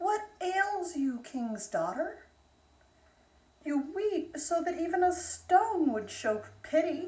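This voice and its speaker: A woman performs a put-on character voice at an extremely high pitch. She speaks very slowly. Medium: read story.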